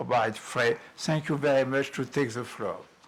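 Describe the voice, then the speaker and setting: A man with a French accent. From France. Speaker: workshop moderator. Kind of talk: conference moderation. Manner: halting.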